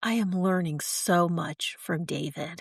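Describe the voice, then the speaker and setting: A woman speaks at a fairly slow pace with a gentle, somewhat breathy tone. The sound is dry and close with no echo, against a quiet background. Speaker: podcast host. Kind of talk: devotional podcast reflection. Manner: slow, gentle.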